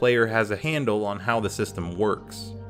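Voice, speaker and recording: A man's intonation is lively. Behind him, music plays. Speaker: game reviewer. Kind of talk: video game review narration. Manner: casual.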